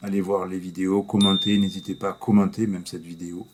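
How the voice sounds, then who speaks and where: Soft-spoken and very deep in pitch, a man talks at a fairly slow pace. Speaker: YouTuber, movie reviewer. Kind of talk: casual vlog review. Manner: halting.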